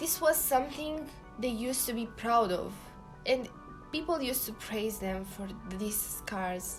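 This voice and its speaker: Speaking at a fairly slow pace with a non-native accent, a woman with a fairly high pitch uses lively intonation and long, frequent pauses while music plays in the background. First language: not English. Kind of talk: casual talk to camera.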